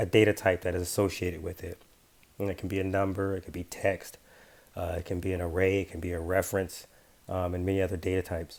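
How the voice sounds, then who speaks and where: A man's very deep, low voice in a monotone, flat delivery at a fairly quick pace. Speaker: app developer tutorial presenter. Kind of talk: software tutorial screencast narration. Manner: casual, hesitant with fillers.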